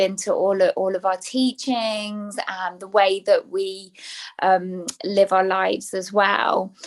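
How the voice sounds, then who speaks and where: In an English accent, a woman speaks at a very slow pace with medium pitch. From England. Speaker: spiritual teacher. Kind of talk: podcast interview.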